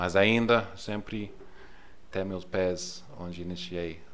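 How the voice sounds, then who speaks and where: A man with an English accent speaks very slowly in a very deep, low voice, his intonation fairly even, with audible room echo. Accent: English accent in Portuguese, non-native. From England. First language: English (speaking Portuguese). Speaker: missionary leader. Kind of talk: podcast interview. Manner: halting, searching for words.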